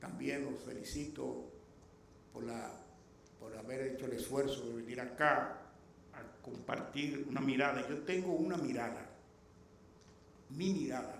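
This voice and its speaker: A man at medium pitch speaks at a fairly slow pace with ordinary pitch variation and long, frequent pauses, amid noticeable background noise and audible room echo. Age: 60s. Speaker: lecturer and anthropologist. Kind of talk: lecture.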